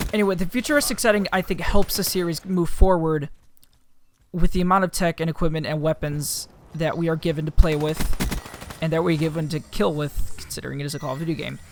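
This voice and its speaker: Over noticeable background noise, a man with a high pitch talks at a very fast pace with fairly even intonation. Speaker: gaming youtuber. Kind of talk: gameplay commentary. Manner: halting, many fillers; casual.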